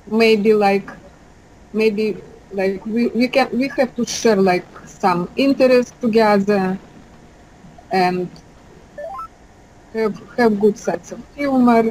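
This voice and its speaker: Very slowly, a woman speaks in a Russian accent, with long, frequent pauses. Light background noise can be heard. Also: ordinary pitch variation. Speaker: dating site interviewee. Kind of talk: interview answer. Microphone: video call.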